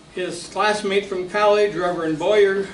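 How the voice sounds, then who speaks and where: Moderately paced male speech amid clear room echo and noticeable background noise. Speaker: local history presenter. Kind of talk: lecture. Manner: halting.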